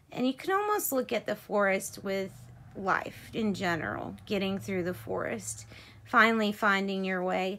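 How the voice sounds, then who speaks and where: The speaker is a woman. Her pitch moves in an ordinary way. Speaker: tarot reader. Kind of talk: tarot reading narration. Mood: calm, gentle. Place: home room. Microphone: phone near.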